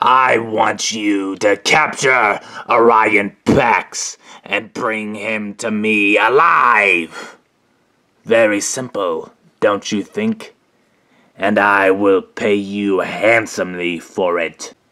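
A man in a put-on character voice talks at a very slow pace in a fairly low pitch. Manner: smug, casual, mocking.

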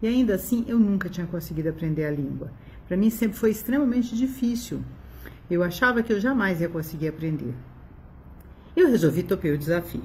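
Lively intonation and vocal fry come through at a fairly quick pace, broken by long, frequent pauses, over light background noise. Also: woman, fairly low pitch for a woman. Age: 60s. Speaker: doctor giving a customer testimonial. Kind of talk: testimonial. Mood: warm, enthusiastic. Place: home room. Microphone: phone near.

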